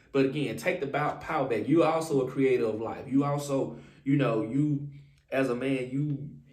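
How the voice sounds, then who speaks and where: Speaking with fairly even intonation, a man has a fairly high voice, and the room echo is audible. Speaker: relationship advice vlogger. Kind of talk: casual advice monologue. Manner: fast.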